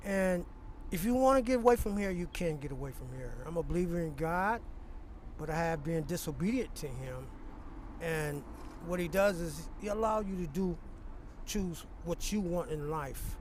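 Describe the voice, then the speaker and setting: With audible room echo, a man with a high pitch talks at a moderate pace, using ordinary pitch variation and long, frequent pauses. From California. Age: 60s. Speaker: homeless man. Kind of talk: street interview.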